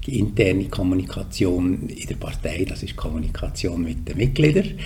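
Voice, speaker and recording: Through noticeable background noise and audible room echo, a man's voice swings very widely in pitch. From Switzerland, canton Solothurn. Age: 60s. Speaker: politician and communications executive. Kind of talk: podcast interview.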